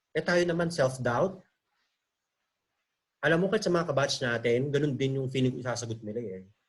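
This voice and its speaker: A man talks at a fairly quick pace with a medium pitch and lively intonation, his voice somewhat breathy. Long pauses come often. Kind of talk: casual talk on video call. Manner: talkative, chatty; conyo Taglish, changing styles.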